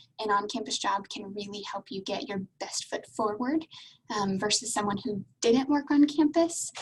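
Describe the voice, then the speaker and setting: Her pitch runs fairly high, with ordinary variation and a somewhat breathy quality. The woman speaks at a moderate pace. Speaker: university international admissions advisor. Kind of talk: webinar presentation. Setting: video call.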